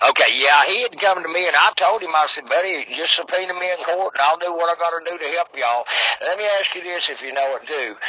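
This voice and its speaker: A man talks at a very fast pace in an Appalachian accent, high-pitched with ordinary pitch variation. Noticeable background noise is heard. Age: 70s. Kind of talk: casual chat.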